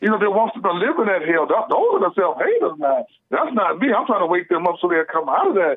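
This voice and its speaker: In an animated tone with lively intonation, a man talks at a very fast pace and a high pitch. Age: 60s. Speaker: caller. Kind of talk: call-in talk show. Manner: animated, repetitive.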